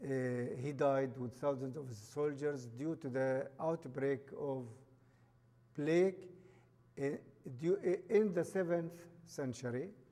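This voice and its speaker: This man's voice sits fairly high for a man, with a dark, mellow tone, ordinary pitch variation and a very slow pace. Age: 60s. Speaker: guest speaker. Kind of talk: public talk. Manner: halting.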